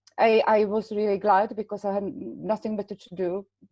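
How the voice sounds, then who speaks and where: A woman speaks with a non-native accent at a moderate pace. Her intonation stays fairly even. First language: not English. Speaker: patient partner. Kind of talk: webinar discussion.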